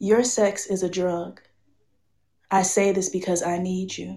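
This woman has a medium-pitched voice with a dark, mellow tone. She speaks with a fairly even intonation in an American accent. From South Florida, US. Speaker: chemist and spoken word poet. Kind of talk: casual interview and trivia game. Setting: live stream online.

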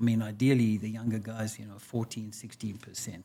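At a moderate pace, a man talks in a somewhat breathy voice of medium pitch. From South Africa. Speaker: physician. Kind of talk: interview.

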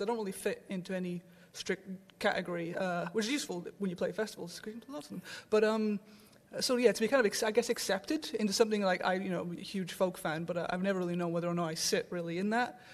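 A woman speaking at a very fast pace with a Welsh accent. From south Wales. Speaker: guitarist. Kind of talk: casual chat. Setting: stage with audience.

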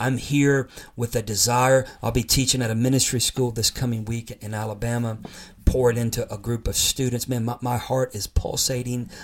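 A man speaks in a monotone, flat delivery at a moderate pace. His voice is somewhat breathy and sits at a medium pitch. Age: 50s. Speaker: podcast host and preacher. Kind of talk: sermon-style teaching. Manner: impassioned.

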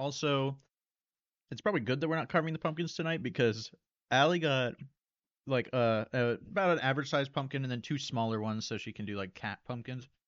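Speaking at a medium pitch, the man uses an ordinary speaking voice. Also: ordinary pitch variation, fairly quick pace. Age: 20s. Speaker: podcast co-host filling in, sibling of host. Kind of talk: casual chat.

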